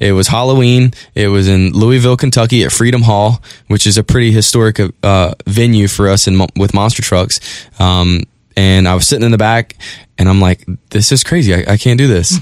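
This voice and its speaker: A man talks at a fairly quick pace in a fairly low pitch with ordinary pitch variation, very even loudness and a normal speaking voice. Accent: American. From North Carolina Outer Banks, Currituck. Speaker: monster truck driver. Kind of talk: casual chat. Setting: studio.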